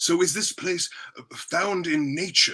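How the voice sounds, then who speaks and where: A man's put-on character voice, guttural and high-pitched, at a fairly slow pace with fairly even intonation. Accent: British. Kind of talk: 1950s TV game show banter. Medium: read story. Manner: halting, ends questions with a short throaty chuckle.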